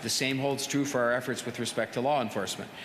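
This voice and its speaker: Background noise is clearly audible. A man talks very fast over it. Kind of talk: press conference answer. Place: hall. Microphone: podium.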